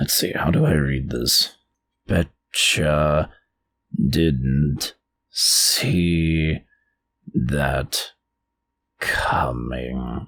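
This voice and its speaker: A man puts on a character voice that is raspy and very deep, with very low pitch. His tone stays deadpan. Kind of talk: comic in-character ad-lib. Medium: audio drama. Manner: dry, deadpan, wry.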